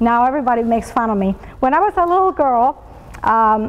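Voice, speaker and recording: A woman talks with a Latin American accent at a fairly high pitch. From Colombia and Venezuela. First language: Spanish. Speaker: business executive, motivational speaker. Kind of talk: motivational talk.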